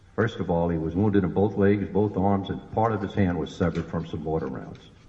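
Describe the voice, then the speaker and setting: A man speaks at a moderate pace with a very deep, low pitch and a dark, mellow tone. There's vocal fry, and his pitch varies in an ordinary way. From New Orleans, Louisiana. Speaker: war veteran. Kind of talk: public speech.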